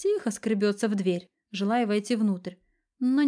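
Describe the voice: Quiet surroundings, plain reading aloud, and ordinary pitch variation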